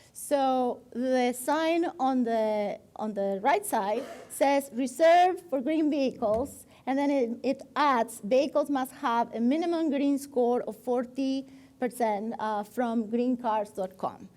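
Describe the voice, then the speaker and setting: With a Spanish accent, a woman speaks at a very slow pace. Her pitch is high, with ordinary variation. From Argentina. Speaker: designer. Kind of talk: guest lecture with slides. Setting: stage with live audience. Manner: halting.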